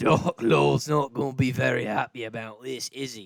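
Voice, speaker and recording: In a raspy put-on character voice at medium pitch, a man speaks at a moderate pace with ordinary pitch variation and big swings in loudness, in a dry, close sound with no echo. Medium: actual play. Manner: gruff, menacing.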